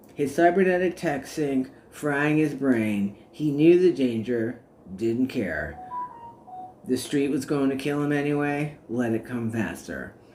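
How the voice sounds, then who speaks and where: Music plays in the background. The speaker talks at a fairly slow pace with ordinary pitch variation. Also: man, fairly high pitch for a man. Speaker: author reading own work. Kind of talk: audiobook narration.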